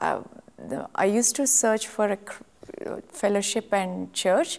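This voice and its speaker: A woman is speaking. She has a Telugu accent. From India, Telugu-speaking. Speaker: church member giving testimony. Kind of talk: testimony. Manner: halting, many fillers.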